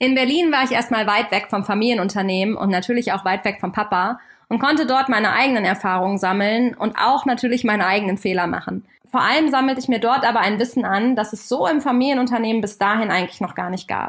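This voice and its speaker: With a fairly high pitch and ordinary pitch variation, a woman talks at a very fast pace. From Germany, Kassel in northern Hesse. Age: 30s. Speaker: podcast host and family business owner. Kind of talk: scripted podcast introduction.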